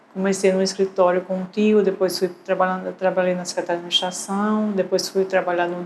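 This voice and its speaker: A woman's medium-pitched, monotone, flat voice at a moderate pace, with noticeable background noise. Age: 60s. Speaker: retired civil servant. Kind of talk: documentary interview testimony.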